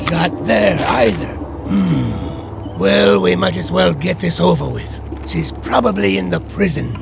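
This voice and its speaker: Amid loud background noise, a man uses a cartoonish character voice, very deep and low in pitch, at a fairly slow pace. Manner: chatty, folksy.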